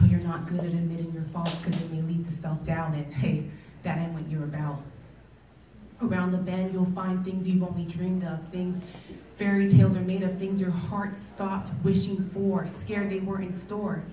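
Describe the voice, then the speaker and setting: Over noticeable background noise and audible room echo, a woman speaks at a moderate pace in a fairly low pitch with monotone, flat intonation. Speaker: spoken word poet. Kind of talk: live spoken word poetry performance. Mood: reflective, rhythmic, urging. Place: stage.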